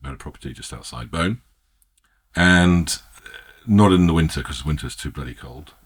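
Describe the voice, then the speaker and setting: Speaking with an English accent, a man moves at a fairly quick pace with vocal fry, lively intonation, long and frequent pauses, and big swings in loudness. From England. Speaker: winemaker. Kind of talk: casual chat. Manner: halting.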